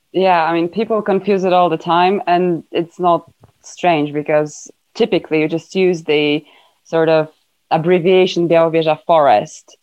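With a Polish accent, this woman talks at a moderate pace in a fairly low pitch, keeping her intonation fairly even. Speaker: environmental campaigner. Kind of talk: casual interview chat.

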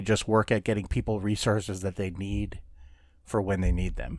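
A normal speaking voice with an American accent and fairly even intonation moves at a moderate pace. The recording is very clean, with a silent background. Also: man. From Minnesota. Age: 40s. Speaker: podcast co-host. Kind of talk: casual chat.

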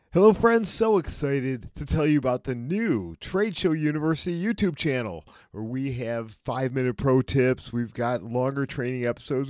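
A man's medium-pitched voice at a moderate pace, in a very clean recording against a silent background. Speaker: trade show trainer and podcast host. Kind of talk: passionate motivational rant aimed at business exhibitors. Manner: emphatic, urgent, pleading; earnest, repeating points for emphasis.

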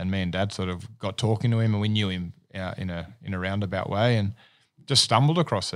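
Talking at a very fast pace, a man with an Australian accent and a fairly low pitch uses ordinary pitch variation on a very clean recording with a silent background. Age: 40s. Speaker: business owner. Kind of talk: casual chat.

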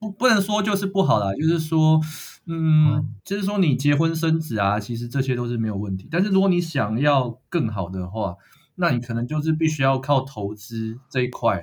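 Somewhat breathy, a man with a fairly high pitch and a Taiwanese accent speaks at a moderate pace with very wide pitch swings. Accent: Taiwanese Mandarin. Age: 20s. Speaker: power company employee and amateur investor. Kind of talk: casual chat.

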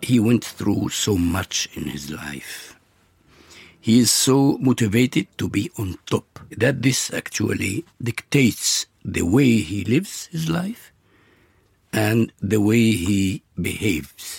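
With an Arabic accent, a man speaks very slowly in a fairly low, somewhat breathy voice with lively intonation and a dry, close sound with no echo. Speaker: actor. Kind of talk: interview. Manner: halting.

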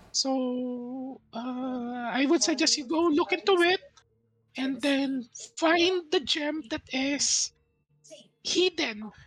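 Long, frequent pauses break up this put-on character voice. The pace is very slow. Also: man, extremely high pitch for a man. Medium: actual play. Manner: calm, matter-of-fact.

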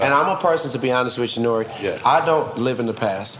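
Noticeable background noise and audible room echo surround the recording. A man speaks at a very fast pace with lively intonation. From Trinidad and Tobago, raised in Atlanta. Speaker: rapper. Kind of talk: casual interview.

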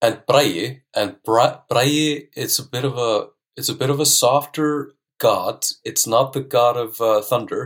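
A man with an Icelandic accent speaks at a fairly slow pace on a very clean recording with a silent background. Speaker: language teacher. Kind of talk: casual interview chat. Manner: laid-back, calm.

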